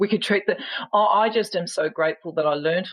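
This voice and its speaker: She speaks with an Australian accent at a moderate pace. This woman's pitch varies in an ordinary way. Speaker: empowerment coach and speaker. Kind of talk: podcast interview answer. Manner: frank and funny.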